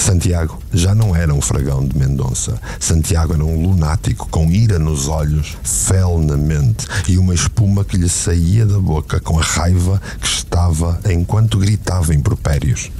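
Intense, theatrical man's voice in a European Portuguese accent, very deep and low, at a fairly slow pace with hardly any pauses, very even loudness, ordinary pitch variation, and noticeable background noise. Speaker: podcast narrator and producer. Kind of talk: dramatic narration of a novel, with dialogue in character voices. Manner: intense, gripping, theatrical storytelling.

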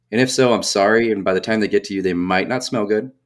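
Here is a plain, everyday voice from a man. He speaks at a fairly quick pace with fairly even intonation. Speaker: hunter. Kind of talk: casual chat. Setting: remote call.

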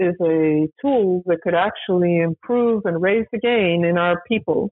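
In an ordinary speaking voice, a woman talks at a fairly slow pace with an American accent. Her pitch is medium, with ordinary variation. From US, small town. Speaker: former defense acquisition official. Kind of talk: interview.

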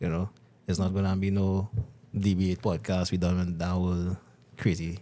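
The voice has a dark, mellow tone and monotone, flat intonation, delivered at a moderate pace. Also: man, very deep, low pitch for a man. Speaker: podcast host. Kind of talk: casual chat.

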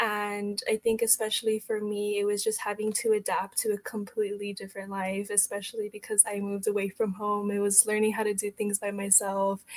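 Against noticeable background noise, a woman speaks at a fairly quick pace with hardly any pauses, in a medium pitch and monotone, flat intonation. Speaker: college student, youth advocate. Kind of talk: casual chat.

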